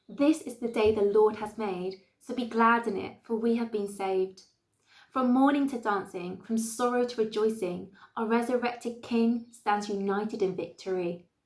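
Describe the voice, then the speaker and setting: The pace is moderate and the intonation fairly even. It is an ordinary speaking voice. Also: woman, fairly high pitch for a woman. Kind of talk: spoken word poetry performance.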